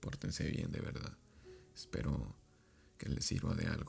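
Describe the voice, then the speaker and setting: A man's dark, mellow voice with vocal fry, at a moderate pace. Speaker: podcast host and author. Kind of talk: casual advice monologue.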